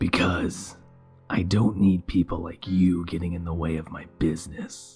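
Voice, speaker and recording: A man puts on a character voice, very deep and low, with monotone, flat intonation at a moderate pace. Faint music sits in the background. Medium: read story. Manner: hostile, menacing.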